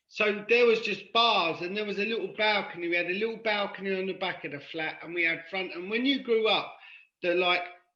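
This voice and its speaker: A man speaks in a raised, projected voice with a London accent, his tone bright and sharp and his pitch high for a man. The pace is fairly quick, pitch variation is ordinary, and the room echo is audible. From London (Paddington), born in Cork, Ireland. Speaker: podcast guest in recovery from addiction. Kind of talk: casual chat.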